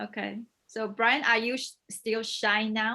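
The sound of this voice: A woman speaks at a fairly slow pace, her fairly high voice carrying a bright, sharp tone. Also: fairly even intonation.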